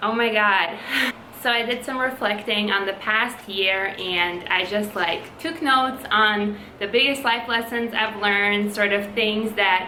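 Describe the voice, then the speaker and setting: A woman with a fairly high pitch speaks at a fairly slow pace over noticeable background noise. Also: ordinary pitch variation. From Latvia. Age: 20s. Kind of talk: casual talk to camera.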